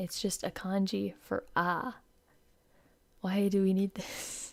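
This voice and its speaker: Quietly and at a very slow pace, a woman speaks at a medium pitch with fairly even intonation. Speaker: VTuber streamer. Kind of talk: live stream lyric analysis.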